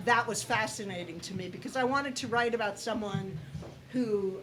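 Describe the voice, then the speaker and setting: Her pitch sits fairly high, and this woman talks at a moderate pace with ordinary pitch variation. Noticeable background noise and audible room echo surround her voice. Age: 60s. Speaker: playwright. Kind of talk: casual chat.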